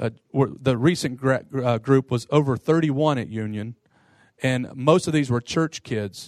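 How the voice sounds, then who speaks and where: In a very clean recording with a silent background and a dry, close sound with no echo, a man with an American accent uses a normal speaking voice at medium pitch, with ordinary pitch variation and a moderate pace. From US Midwest (Detroit) and Eastern Kentucky. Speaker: pastor and seminary professor. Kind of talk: lecture to pastors.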